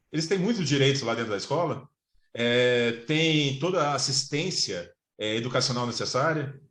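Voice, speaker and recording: The man's voice sits fairly high in pitch. He speaks at a moderate pace with ordinary pitch variation. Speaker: lawyer and professor giving a talk. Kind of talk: online lecture to fellow lawyers. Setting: video call. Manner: halting, many fillers.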